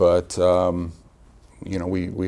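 A man speaks in an American accent with a very deep, low pitch. His tone is dark and mellow, and his intonation stays monotone and flat. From central Illinois, US Midwest. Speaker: military contracting official. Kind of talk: interview. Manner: halting, many fillers.

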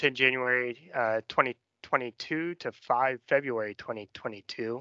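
Against a quiet background, a man with an American accent speaks at medium pitch in a bright, sharp tone with fairly even intonation. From Danville, Illinois (US Midwest). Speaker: army lawyer. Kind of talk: interview.

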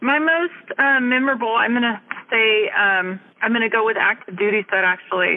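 A woman with an American accent, fairly high-pitched, at a moderate pace and very even loudness, over noticeable background noise. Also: ordinary pitch variation. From California Central Valley. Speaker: navy legalman, senior chief. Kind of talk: casual interview.

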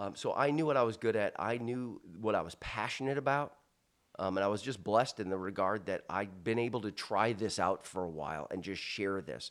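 A man's fairly low voice, a normal speaking voice, with ordinary pitch variation at a fairly quick pace in a very clean recording with a silent background. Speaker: leadership speaker and retired military officer. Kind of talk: casual interview. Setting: in a house.

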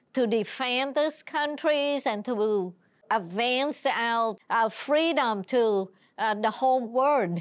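A woman's high voice in a Vietnamese accent at a very slow pace, with ordinary pitch variation, very even loudness and a quiet background. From Vietnam (Saigon). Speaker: senior navy civilian executive. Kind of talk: interview.

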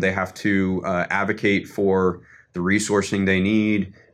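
A man's fairly low-pitched voice with an American accent. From Washington, D.C. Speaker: Air Force officer. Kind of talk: interview. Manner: halting, many filler words.

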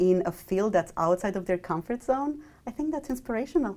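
Speaking in a Romanian accent, a woman has a dark, mellow tone and lively intonation at a fairly quick pace. The recording is very clean, with a silent background. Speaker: mathematics professor. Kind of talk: interview.

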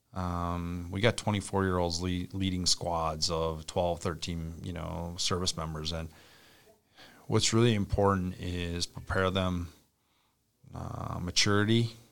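Talking at a fairly slow pace, a man with an Upper Midwest accent uses a very deep, low pitch and fairly even intonation. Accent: Upper Midwest (Minnesota). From central Minnesota. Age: 40s. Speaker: army brigade commander. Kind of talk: interview.

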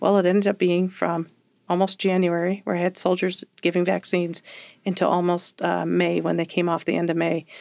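A woman's fairly low, monotone, flat voice with a West Coast accent, at a fairly quick pace and very even loudness, in a very clean recording with a silent background and a dry, close sound with no echo. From Oregon, US Pacific Northwest. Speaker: army officer. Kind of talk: interview. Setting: studio.

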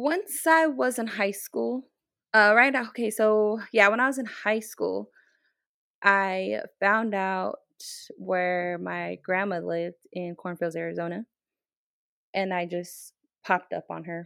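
With a bright, sharp tone and lively intonation, a woman speaks at a very slow pace with long, frequent pauses on a very clean recording with a silent background. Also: medium pitch for a woman. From Navajo Reservation, northwest New Mexico. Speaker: military training instructor. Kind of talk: interview conversation.

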